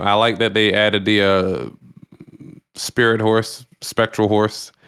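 A man speaks at a moderate pace in a plain, everyday voice, his fairly low pitch held at a very even loudness. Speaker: podcast co-host. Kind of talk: casual chat.

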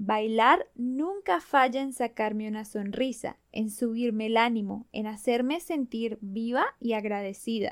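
A woman's high voice with a Bogotá accent, ordinary pitch variation and a very slow pace. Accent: Colombian Spanish, Bogotá. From Colombia, Bogotá. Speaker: podcast host, Spanish teacher. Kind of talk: slow, clear talk for Spanish learners.

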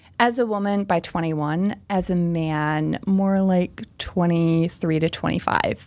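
This woman's voice sits fairly low, with fairly even intonation and very even loudness. She talks at a fairly slow pace with hardly any pauses over noticeable background noise. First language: Pennsylvania Dutch. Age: 30s. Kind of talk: casual interview.

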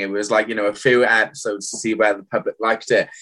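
Bright and sharp in tone, a man talks in a South Wales accent. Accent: South Wales valleys. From South Wales valleys. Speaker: reality TV contestant. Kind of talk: casual chat.

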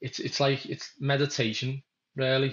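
A man is speaking. He has a Liverpool accent. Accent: Scouse (Liverpool). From Merseyside, England (Kirkby, Liverpool area). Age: 20s. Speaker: merchant navy engineer. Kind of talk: casual chat.

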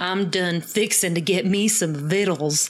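At a middle pitch, the speaker uses a put-on character voice and moves at a fairly slow pace. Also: female-sounding voice. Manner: overplayed, comically exaggerated.

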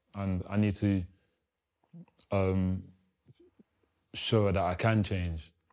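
On a very clean recording with a silent background, a man with a London accent speaks very slowly in a very deep, low, monotone voice, leaving long, frequent pauses. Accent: London multicultural English. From South East London (Lewisham), arrived from Congo as a young child. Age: 20s. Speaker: former gang member, ex-prisoner. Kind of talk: interview, personal life story. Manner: casual, frequent fillers.

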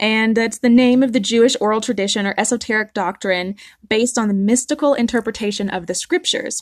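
A woman with a Southern US accent talks at a very fast pace and a fairly high pitch, with ordinary pitch variation. The sound is dry and close with no echo, and the background is quiet. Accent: Southern American. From US South. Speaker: podcast host. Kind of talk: solo podcast monologue, partly read.

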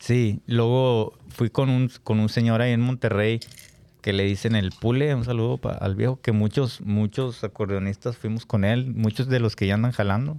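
On a very clean recording with a silent background, a man with a dark, mellow tone and medium pitch speaks at a moderate pace with fairly even intonation and very even loudness. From Nuevo León, Mexico. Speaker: accordion player in a regional Mexican band. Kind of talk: casual interview chat.

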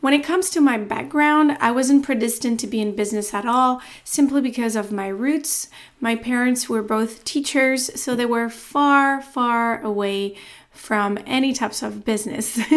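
This woman has an American accent and a high pitch. She speaks at a moderate pace with ordinary pitch variation. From France. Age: 30s. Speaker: podcast host, tech sales professional. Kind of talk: solo podcast monologue, introduction.

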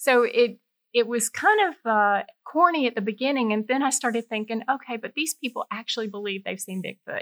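A fairly quick woman's voice in a Georgia accent, high-pitched with ordinary pitch variation, dry and close with no echo. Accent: US Southern (Georgia). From Middle Georgia (Warner Robins). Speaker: freelance writer and former engineer. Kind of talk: interview conversation. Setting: in person studio.

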